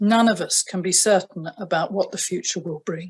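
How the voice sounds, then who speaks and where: Somewhat breathy, a woman with a southern English accent talks at a moderate pace with ordinary pitch variation. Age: 70s. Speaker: retired family doctor. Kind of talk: prepared statement. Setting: video address. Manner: formal.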